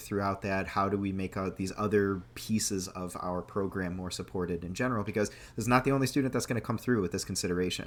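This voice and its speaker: A man talks in an ordinary speaking voice at a fairly quick pace. His pitch is fairly low, with ordinary pitch variation. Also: very clean recording, silent background. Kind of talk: podcast host talk.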